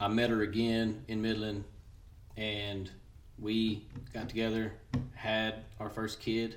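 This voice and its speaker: In a West Texas accent, a man with a fairly low, somewhat breathy voice speaks amid audible room echo. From West Texas (Seminole). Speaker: churchgoing father. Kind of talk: casual chat.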